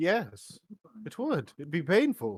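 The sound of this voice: Putting on a character voice, a man speaks slowly at a fairly high pitch with very wide pitch swings and a slightly husky edge.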